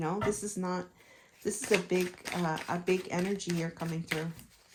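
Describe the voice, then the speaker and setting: In a very clean recording with a silent background, a woman with an ordinary speaking voice talks at a moderate pace, her medium pitch following a fairly even intonation. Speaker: tarot reader. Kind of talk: tarot reading.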